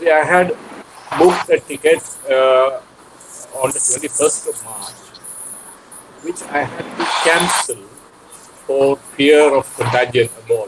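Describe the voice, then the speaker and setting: A man talks at a fairly slow pace, with long, frequent pauses and big swings in loudness. Noticeable background noise runs under his voice. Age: 60s. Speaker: poet. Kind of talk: panel discussion. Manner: halting.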